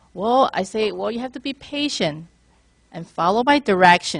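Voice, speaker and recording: With a Chinese accent, the speaker keeps a moderate pace and makes very wide pitch swings. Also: woman, big swings in loudness. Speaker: mortgage lender. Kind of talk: panel discussion.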